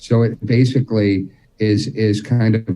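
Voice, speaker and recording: A man with an American accent speaks at a fairly slow pace in a fairly low pitch, his tone dark and mellow. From New Jersey. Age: 50s. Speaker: militaria expert. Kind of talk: casual chat.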